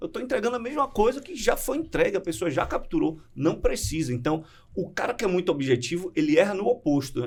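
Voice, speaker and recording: Very wide pitch swings mark this fairly quick delivery. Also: man. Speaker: public speaking coach. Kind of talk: podcast interview.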